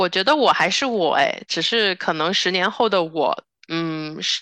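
A woman's medium-pitched voice has a bright, sharp tone and lively intonation. The sound is dry and close with no echo, over a quiet background. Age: 20s. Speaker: podcast co-host, human geography PhD student. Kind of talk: casual chat.

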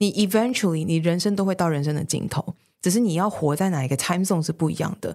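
This woman's voice is fairly low in pitch. She speaks at a very fast pace. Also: ordinary pitch variation. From Taiwan. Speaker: senior manager. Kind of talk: casual interview.

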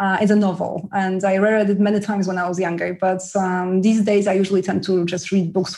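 A woman's medium-pitched voice with a Polish accent, fairly quick and flat, with hardly any pauses. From Poland. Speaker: author. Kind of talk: interview chat.

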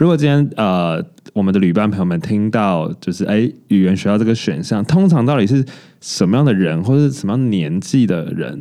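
Fairly low in pitch, a man speaks with a dark, mellow tone. His delivery is fairly quick with lively intonation. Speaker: podcast co-host. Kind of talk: casual chat.

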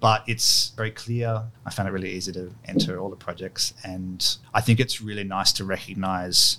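An Australian accent with a bright, sharp tone, flat, monotone intonation, big swings in loudness, a moderate pace and hardly any pauses. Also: man, fairly low pitch for a man. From Sydney, Australia, with childhood years in London. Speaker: architect. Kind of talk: interview. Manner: casual, hesitant with fillers.

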